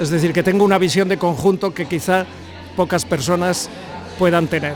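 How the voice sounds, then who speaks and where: Music plays in the background as a man with a high pitch speaks. His pace is moderate and his intonation fairly even. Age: 70s. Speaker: football analyst and coach. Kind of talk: talk to bar audience. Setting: bar gathering with audience.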